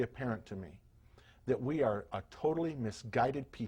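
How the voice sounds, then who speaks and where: A man talks at a fairly quick pace in a somewhat breathy voice. The recording is very clean, with a silent background. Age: 60s. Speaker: health and performance coach. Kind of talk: scripted talk to camera.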